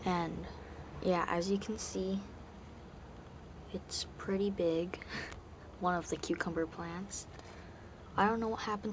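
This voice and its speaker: Over noticeable background noise, a man with a high voice talks fairly slowly in a flat monotone, with long, frequent pauses. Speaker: home gardener. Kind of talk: casual talk to camera. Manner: whispered. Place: garden. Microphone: phone near.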